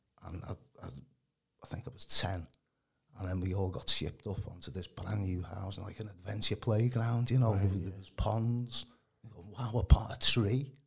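A man at a fairly low pitch and moderate pace, somewhat breathy, with ordinary pitch variation, big swings in loudness and long, frequent pauses, on a very clean recording with a silent background. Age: 60s. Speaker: healing minister. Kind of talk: testimony.

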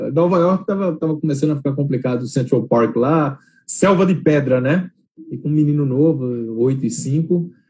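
At a moderate pace, a man speaks in a fairly high, somewhat breathy voice. His tone is dark and mellow, with ordinary pitch variation. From Brazil, Recife. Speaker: investment manager. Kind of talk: interview. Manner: halting, many repetitions.

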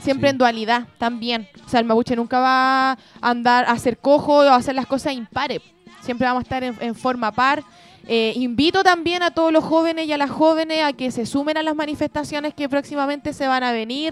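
A woman talks in a Chilean accent at a fairly quick pace, her pitch high with ordinary variation. There is noticeable background noise. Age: 20s. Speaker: early childhood educator. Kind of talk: casual chat.

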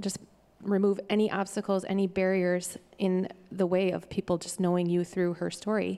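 Monotone and flat, a woman speaks in a dark, mellow tone. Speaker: church member. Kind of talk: prayer. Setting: church.

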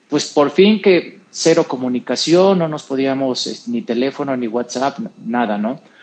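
Using an ordinary speaking voice, a man talks fairly high at a moderate pace with ordinary pitch variation. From Mexico (San Luis Potosí). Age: 40s. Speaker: radio interview guest, businessman. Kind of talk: casual chat. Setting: radio studio.

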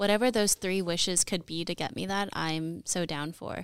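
Over a very clean recording with a silent background, a woman talks at a fairly quick pace, her fairly low pitch holding fairly even intonation. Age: 20s. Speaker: optical engineer. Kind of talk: casual chat.

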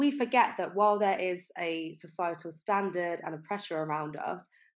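A woman speaks in a normal speaking voice at a fairly low pitch with ordinary pitch variation. The background is quiet. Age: 20s. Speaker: podcast host, health coach and nutritionist. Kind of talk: solo podcast monologue.

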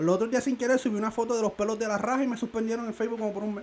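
Animated and very fast, a man speaks at a high pitch. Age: 20s. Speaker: podcast co-host. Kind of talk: casual chat.

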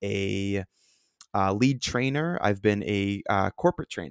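In a very clean recording with a silent background and a dry, close sound with no echo, a man with an ordinary speaking voice talks at a fairly low pitch with ordinary pitch variation. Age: 20s. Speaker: podcast host, restaurant manager. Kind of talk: solo monologue.

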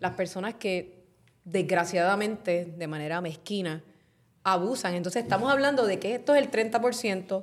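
On a very clean recording with a silent background, a woman speaks at a medium pitch in an unremarkable speaking voice. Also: ordinary pitch variation, moderate pace. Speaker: podcast host, journalist. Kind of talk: podcast discussion.

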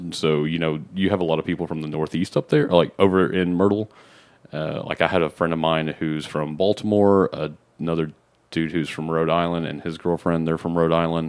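In an American accent, a man with a very deep, low pitch talks at a fairly quick pace in a flat monotone, on a very clean recording with a silent background. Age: 30s. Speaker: podcast guest. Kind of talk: casual chat.

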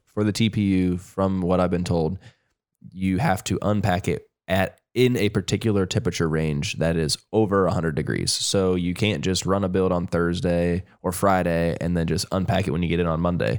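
A man's very deep, low voice with a Midwestern American accent, moderate in pace, fairly even in intonation and very even in loudness, on a very clean recording with a silent background. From Ohio. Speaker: podcast host, 3D printing technician. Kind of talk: technical explanation; casual chat. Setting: studio/office livestream.

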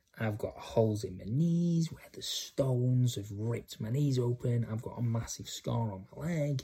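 A man's dark, mellow, somewhat breathy voice at a moderate pace, with ordinary pitch variation and hardly any pauses. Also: medium pitch for a man. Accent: northern English. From England, Cheshire. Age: 30s. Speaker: podcaster. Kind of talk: personal testimony. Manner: casual, halting with fillers.

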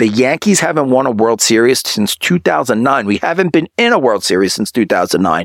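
Animated and fairly quick, a man talks in a medium pitch with very wide pitch swings and vocal fry. The sound is dry and close, with no echo. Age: 30s. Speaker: sports podcast host. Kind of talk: solo sports commentary monologue.

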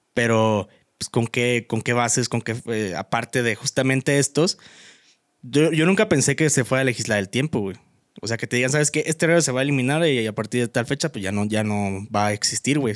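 In a dry, close sound with no echo, a man speaks very fast at a medium pitch with lively intonation. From Mexico. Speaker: podcast co-host, law student. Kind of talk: casual chat.

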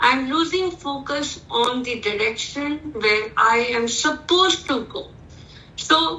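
Projecting her raised voice with lively intonation, a woman speaks in an Indian accent amid audible room echo. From India, Indore (Madhya Pradesh). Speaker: corporate lawyer. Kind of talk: interview.

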